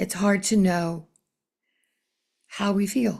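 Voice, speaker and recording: A woman speaks very slowly in a calm tone at a medium pitch, somewhat breathy. The recording is very clean with a silent background. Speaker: spiritual channeler. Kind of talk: spiritual newsletter message. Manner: slow, calm.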